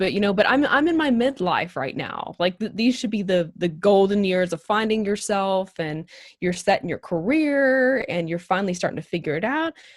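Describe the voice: The intonation is lively. The pace is moderate. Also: woman, medium pitch for a woman.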